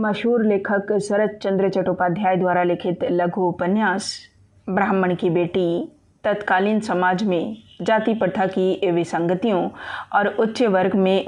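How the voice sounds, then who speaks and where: Here is a woman with a normal speaking voice at medium pitch. Her intonation stays fairly even. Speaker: audiobook narrator. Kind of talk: audiobook novel narration.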